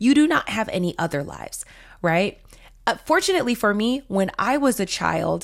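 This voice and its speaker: A woman with vocal fry speaks at a moderate pace with lively intonation in a very clean recording with a silent background. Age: 30s. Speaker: podcast host, marketing coach. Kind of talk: casual solo monologue.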